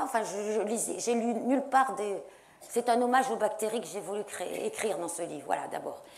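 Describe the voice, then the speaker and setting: The woman's pitch is fairly high, and her intonation stays fairly even. Room echo is audible. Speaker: science journalist and author. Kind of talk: panel debate talk. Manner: fast.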